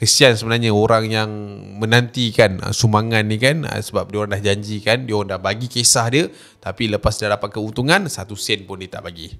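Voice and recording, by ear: With few pauses, a man speaks at a fairly low pitch. His tone is fairly bright. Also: ordinary pitch variation, fairly quick pace.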